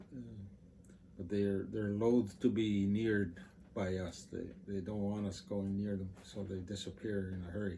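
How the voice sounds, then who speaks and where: Somewhat breathy delivery from a man at fairly low pitch and moderate pace, with audible room echo. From Canadian Arctic. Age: 70s. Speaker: former park management board member. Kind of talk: interview. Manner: halting.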